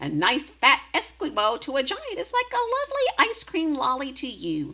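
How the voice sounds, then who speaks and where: A put-on character voice, high-pitched and squeaky. It moves along at a moderate pace. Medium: read story. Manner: jumbled grammar, invented whimsical words.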